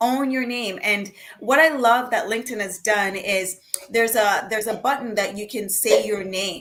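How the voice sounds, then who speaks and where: With a Jamaican accent, a woman speaks at a fairly high pitch with ordinary pitch variation. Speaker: panelist. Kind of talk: panel discussion.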